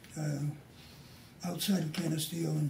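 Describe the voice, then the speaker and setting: Amid audible room echo and noticeable background noise, a man speaks at a fairly high pitch with monotone, flat intonation. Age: 60s. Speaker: retired TV newsman. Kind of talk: casual chat.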